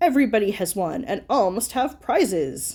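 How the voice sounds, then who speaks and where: Putting on a character voice, a woman speaks at a fairly high pitch and a moderate pace in a very clean recording with a silent background. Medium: read story. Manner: grave, solemn.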